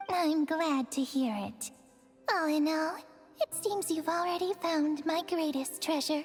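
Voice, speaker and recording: Delivered at a fairly slow pace, this put-on character voice has a gentle, warm tone, with clear music playing in the background. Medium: video game.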